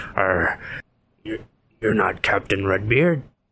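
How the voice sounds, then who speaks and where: A man puts on a raspy character voice, speaking at a fairly slow pace with a fairly low pitch. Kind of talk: pirate speech. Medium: actual play. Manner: gruff.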